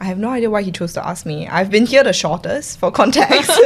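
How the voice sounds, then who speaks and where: Lively intonation marks this woman's medium-pitched voice, in a Singaporean accent. Noticeable background noise is present. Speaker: podcast co-host, student. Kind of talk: casual chat.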